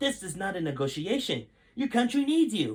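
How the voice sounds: Using a put-on character voice, a man speaks at a high pitch with big pitch swings, a slightly husky edge and a moderate pace.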